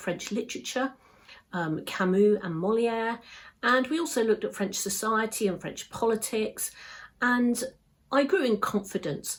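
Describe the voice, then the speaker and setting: A woman with a British accent, fairly high pitch, ordinary pitch variation and moderate pace, in a very clean recording with a silent background. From England. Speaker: English teacher. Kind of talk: exam practice answer. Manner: clear, measured pace.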